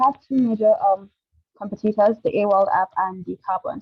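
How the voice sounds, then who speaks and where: With fairly even intonation, a woman speaks at a medium pitch. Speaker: startup founder. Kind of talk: startup pitch. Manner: fast.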